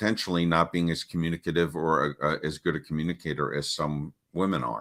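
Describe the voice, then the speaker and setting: A man's very deep, low voice with vocal fry, at a fairly quick pace. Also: dry, close sound with no echo, very clean recording, silent background. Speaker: parenting coach. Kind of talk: interview. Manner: halting.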